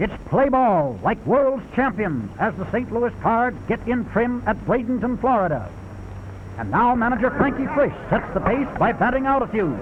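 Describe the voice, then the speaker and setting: Over noticeable background noise, a man with an extremely high pitch speaks at a moderate pace. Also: ordinary pitch variation. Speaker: newsreel narrator. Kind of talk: newsreel narration.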